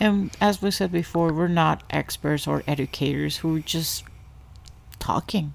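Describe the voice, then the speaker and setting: In a Spanish accent, a woman speaks at a fairly slow pace with fairly even intonation. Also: fairly low pitch for a woman. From Ecuador. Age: 30s. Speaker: podcast host, stay-at-home mother. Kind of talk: casual chat. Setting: home bedroom.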